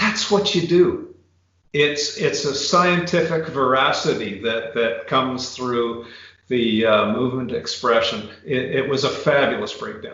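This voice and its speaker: Audible room echo surrounds a man with a fairly high voice who speaks fairly slowly with lively intonation. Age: 60s. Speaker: retired biomechanics professor. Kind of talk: casual interview chat.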